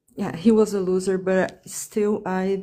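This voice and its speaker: Speaking at a fairly slow pace, this voice has a dark, mellow tone with a Portuguese accent. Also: woman. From Brazil. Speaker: caller on a live dating advice stream. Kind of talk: live call-in conversation. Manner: halting, many fillers and restarts.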